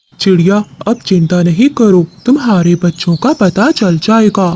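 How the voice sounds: Using a cartoonish character voice at a middle pitch, the speaker talks fairly slowly.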